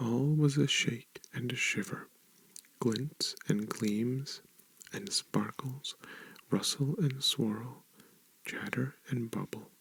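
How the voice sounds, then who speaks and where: A soft-spoken man with a medium-pitched voice talks at a very slow pace. His pitch varies in an ordinary way, and he leaves long, frequent pauses. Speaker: ASMR reader. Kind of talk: ASMR book reading. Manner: soft-spoken, relaxing.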